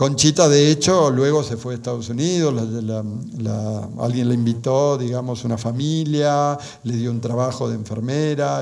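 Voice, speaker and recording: Audible room echo surrounds a man with an Argentine accent. He speaks at a moderate pace with fairly even intonation. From Argentina. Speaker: speaker on Marian apparitions. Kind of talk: conference talk. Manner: halting.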